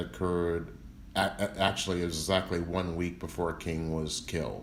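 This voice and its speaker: A man with an American accent speaks at a very deep, low pitch, with audible room echo. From US South, Memphis, Tennessee. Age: 60s. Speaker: civil rights lawyer. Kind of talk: interview.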